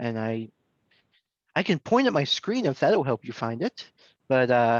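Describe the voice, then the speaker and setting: A plain, everyday voice, at a fairly slow pace with lively intonation, in a dry, close recording with no echo. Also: man, medium pitch for a man. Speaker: volunteer cookie program coordinator. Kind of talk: online training presentation.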